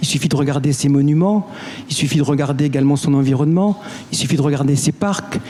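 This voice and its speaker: Noticeable noise sits behind speech that keeps a moderate tempo and varies its pitch in an ordinary way. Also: man. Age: 60s. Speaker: municipal election candidate. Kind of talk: election debate.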